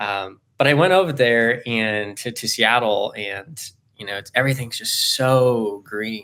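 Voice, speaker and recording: In an American accent, a man talks fairly slowly at a medium pitch, with a bright, sharp tone and ordinary pitch variation. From Southern California. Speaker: graduate student and therapist-in-training. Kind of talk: casual interview conversation. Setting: video call. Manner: loud, bubbly; halting, many fillers.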